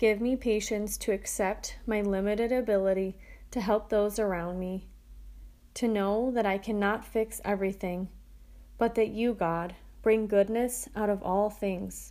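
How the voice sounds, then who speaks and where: In a very clean recording with a silent background, a woman speaks at a medium pitch in a dark, mellow tone with monotone, flat intonation. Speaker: prayer podcaster. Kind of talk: fervent prayer. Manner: earnest, supplicating; slow, devout.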